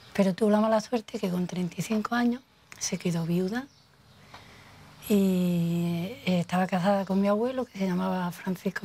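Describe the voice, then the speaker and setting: A woman's somewhat breathy, dark, mellow voice at a medium pitch, with fairly even intonation and a fairly slow pace. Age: 50s. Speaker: local resident interviewee. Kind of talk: oral history testimony. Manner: halting.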